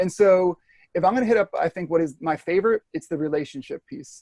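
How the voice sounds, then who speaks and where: The voice shows ordinary pitch variation. The sound is dry and close, with no echo. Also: man. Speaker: former teacher, flipped learning educator. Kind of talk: interview answer, casual explanation. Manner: fast; casual, many fillers.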